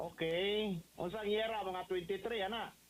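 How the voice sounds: A man's high-pitched voice at a moderate pace, with fairly even intonation and audible room echo.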